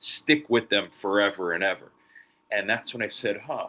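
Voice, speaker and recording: On a very clean recording with a silent background, a man with an American accent talks in a fairly low pitch with a bright, sharp tone. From New York, Long Island. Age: 20s. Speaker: podcast host. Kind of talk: interview conversation.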